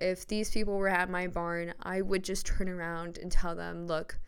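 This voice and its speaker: A woman speaks at a moderate pace and medium pitch, with fairly even intonation and audible room echo. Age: 20s. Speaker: podcast host and horse barn owner. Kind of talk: solo motivational monologue. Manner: casual, frequent laughter.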